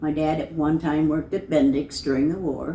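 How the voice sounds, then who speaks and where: A woman with an American accent speaks at a moderate pace. Her pitch is very deep and low, and her intonation fairly even. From US Midwest, northern Indiana. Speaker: local resident sharing memories. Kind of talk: oral history interview.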